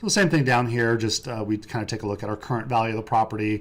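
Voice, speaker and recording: Recorded very cleanly against a silent background, a man speaks in a fairly low voice. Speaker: real estate advisor. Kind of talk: tutorial. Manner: fast; casual, with fillers.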